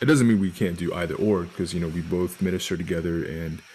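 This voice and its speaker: A man with an American accent, very deep and low in pitch, with fairly even intonation. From Texas (Arlington). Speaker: podcast co-host, minister. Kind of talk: casual chat.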